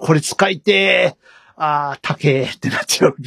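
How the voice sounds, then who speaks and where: An ordinary speaking voice comes through at a moderate pace, with a dry, close sound and no echo. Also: man. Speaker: podcast host. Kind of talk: casual chat.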